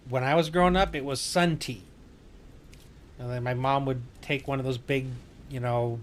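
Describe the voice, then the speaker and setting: A man speaks at a moderate pace and medium pitch with ordinary pitch variation, taking long, frequent pauses. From Wisconsin. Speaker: gaming streamer, navy veteran. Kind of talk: casual chat during gameplay livestream.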